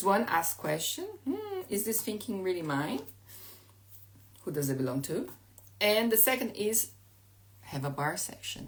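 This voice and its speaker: A woman speaks fairly slowly with a non-native accent. Her medium pitch swings very widely. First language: Portuguese. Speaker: life coach. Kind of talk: live stream talk. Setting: at home. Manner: halting.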